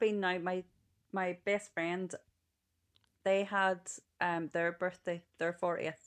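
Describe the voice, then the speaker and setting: With a Northern Irish accent, a woman speaks at medium pitch. Her pace is very slow. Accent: Northern Irish (Ulster). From Northern Ireland, Ballymena. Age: 40s. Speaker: childminder. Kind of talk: interview.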